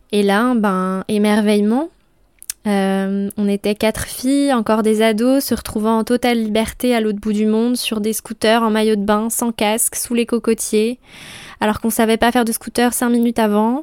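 At a moderate pace, a woman speaks in a monotone, flat manner with very even loudness. The sound is dry and close with no echo. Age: 20s. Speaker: podcast host. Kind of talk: solo monologue podcast. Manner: casual.

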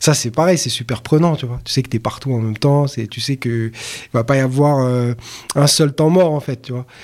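A man talks at a moderate pace with a medium pitch. His intonation stays fairly even. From Paris, 18th arrondissement. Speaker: rapper. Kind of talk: casual interview. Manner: halting.

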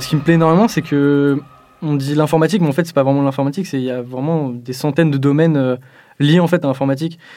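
Over music in the background, a man with a fairly high pitch talks at a very fast pace with fairly even intonation. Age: 20s. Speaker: computer science student. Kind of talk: interview testimony.

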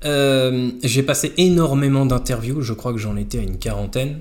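A man's somewhat breathy voice at medium pitch and a moderate pace. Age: 30s. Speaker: stay-at-home father. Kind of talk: casual chat.

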